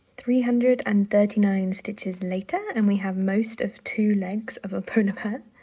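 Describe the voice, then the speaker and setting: The speaker has a British accent, fairly even intonation and a moderate pace with hardly any pauses. Noticeable background noise is present. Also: woman, medium pitch for a woman. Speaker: craft vlogger. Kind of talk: casual vlog chat. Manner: hesitant with fillers.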